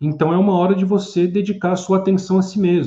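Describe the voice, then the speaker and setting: This man's voice is high. The tone comes across dark and mellow. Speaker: psychoanalyst and philosopher. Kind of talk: live-stream talk with viewer comments.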